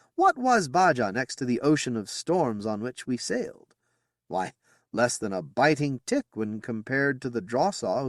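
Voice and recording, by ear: Read aloud in a natural voice, this clip has lively intonation over a quiet background.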